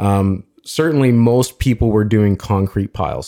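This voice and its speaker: A man with a Canadian accent speaks with ordinary pitch variation on a very clean recording with a silent background and a dry, close sound with no echo. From Ontario, Canada (Toronto suburbs). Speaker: entrepreneur. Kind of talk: casual interview.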